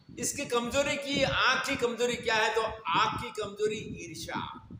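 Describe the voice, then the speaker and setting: This man, with a Gujarati accent, speaks in a raised, projected voice at an extremely high pitch with ordinary pitch variation, over audible room echo and noticeable background noise. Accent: Gujarati-accented Hindi. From India, Gujarat (Banaskantha). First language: Gujarati (speaking Hindi). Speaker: spiritual preacher. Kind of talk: religious discourse (satsang).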